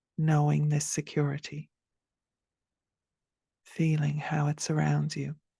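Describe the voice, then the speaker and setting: Very deep and low for a woman, her somewhat breathy voice has a dark, mellow, soothing tone, flat monotone intonation, a fairly slow pace and long, frequent pauses. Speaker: meditation guide. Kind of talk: guided meditation. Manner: slow, soothing, soft-spoken.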